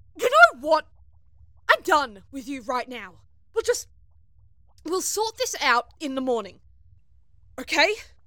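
Using a put-on character voice, a woman speaks slowly at a high pitch with big pitch swings and a bright, sharp tone. Long, frequent pauses break up her speech.

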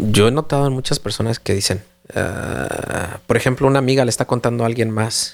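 This man has a normal speaking voice at medium pitch, moving at a fairly quick pace with fairly even intonation. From Mexico City. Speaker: parenting podcast co-host. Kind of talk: casual chat.

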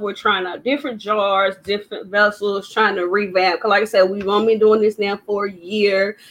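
Speaking with a North Carolina accent, a woman has a medium pitch and a moderate pace. Noticeable background noise runs underneath. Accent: US Southern (North Carolina). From Durham, North Carolina. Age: 30s. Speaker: small business owner, candle maker. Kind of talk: interview.

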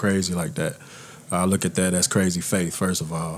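A man with a Texan accent, very deep and low in pitch, at a fairly quick pace with fairly even intonation. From Texas. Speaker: former football player.

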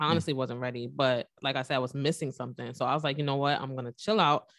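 A woman with a very deep, low pitch on a very clean recording with a silent background. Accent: New York. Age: 20s. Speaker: makeup artist and single mother. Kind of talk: casual chat.

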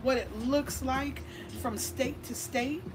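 Against noticeable background noise and audible room echo, a woman speaks in a high-pitched voice. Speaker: podcast host and cannabis lobbyist. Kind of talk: casual interview chat. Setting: cigar lounge venue.

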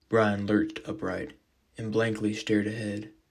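In a fairly low voice, a man speaks at a fairly slow pace with a dramatic tone. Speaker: fiction podcast narrator. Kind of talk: horror narration, scripted storytelling. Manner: dramatic, voicing characters.

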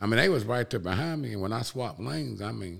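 Speaking with an Alabama accent, a man with a fairly low pitch talks at a fairly quick pace, his voice moving through very wide pitch swings. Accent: US Southern (Alabama). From Alabama (Cullman). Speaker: auto detailer and ceramic coating distributor. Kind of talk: casual chat.

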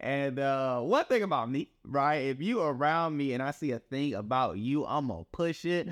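Lively intonation and an animated, upbeat tone come through on a very clean recording with a silent background. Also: man. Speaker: podcast host. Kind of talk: casual interview chat. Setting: video recorded podcast.

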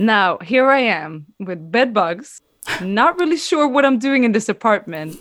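The very clean recording with a silent background carries a woman's fairly high voice. Her pitch swings very widely. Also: fairly slow pace. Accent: Swedish. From Sweden. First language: Swedish. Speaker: dancer. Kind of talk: storytelling.

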